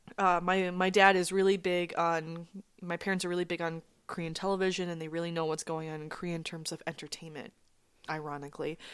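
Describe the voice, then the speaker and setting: A woman with an American accent speaks very fast in a flat monotone at a fairly low pitch, recorded very cleanly over a silent background. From Minnesota. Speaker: actress. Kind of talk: casual chat.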